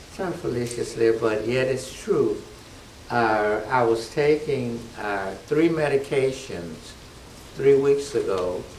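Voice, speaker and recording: Against noticeable background noise and audible room echo, a man speaks very slowly at medium pitch with ordinary pitch variation. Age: 70s. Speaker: church member giving diet testimonial. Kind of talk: testimony. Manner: halting.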